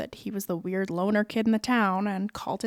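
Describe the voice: Fairly even intonation in plain reading aloud.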